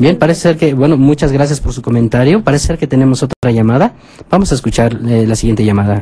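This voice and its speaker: The tone is dark and mellow with a somewhat breathy edge. The pace is very fast. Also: man. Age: 40s. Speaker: priest radio host. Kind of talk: radio phone-in.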